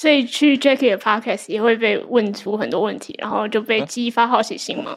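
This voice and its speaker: A woman talks in a normal speaking voice, fairly high in pitch, at a moderate pace with hardly any pauses. Her pitch variation is ordinary, and her loudness swings a lot. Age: young. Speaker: reading notes creator, co-host. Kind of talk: live book club discussion. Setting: live event with audience.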